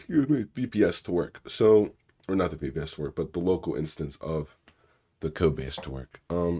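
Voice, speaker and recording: Rumbling and full of vocal fry, this man's voice sits at a very deep, low pitch. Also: lively intonation, moderate pace. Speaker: cybersecurity streamer. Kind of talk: live stream coding session. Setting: live stream on camera. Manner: casual, many fillers.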